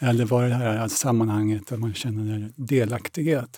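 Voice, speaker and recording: This man's voice has a dark, mellow tone. He talks at a moderate pace. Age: 60s. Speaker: theatre director and masters sprinter. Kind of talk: interview.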